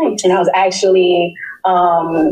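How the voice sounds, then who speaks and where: A woman with an American accent speaks at a fairly low pitch. Noticeable background noise runs beneath her voice. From New York City (Queens). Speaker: public health researcher. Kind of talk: interview.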